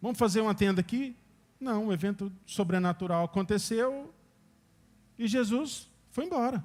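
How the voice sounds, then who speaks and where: A man with a high pitch speaks at a moderate pace, leaving long, frequent pauses. His pitch varies in an ordinary way on a very clean recording with a silent background. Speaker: preacher. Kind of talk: sermon.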